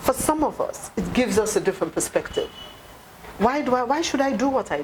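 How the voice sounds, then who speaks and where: In a passionate tone, a woman speaks fairly quickly in a high pitch, her pitch swinging very widely, with noticeable background noise. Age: 60s. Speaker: party leader. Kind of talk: interview.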